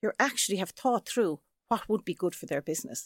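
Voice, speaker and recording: A woman with an Irish accent speaks with very wide pitch swings. The sound is dry and close with no echo, on a very clean recording with a silent background. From Ireland. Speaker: sales trainer and author. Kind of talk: casual interview chat.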